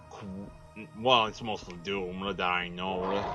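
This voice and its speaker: Music in the background behind a man's very slow speech. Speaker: gaming video commentator. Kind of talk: let's play commentary. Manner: halting, many fillers.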